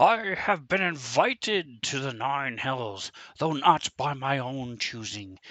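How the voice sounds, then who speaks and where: Using a put-on character voice, a man of medium pitch talks at a fairly slow pace. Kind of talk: theatrical. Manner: dramatic, monologuing.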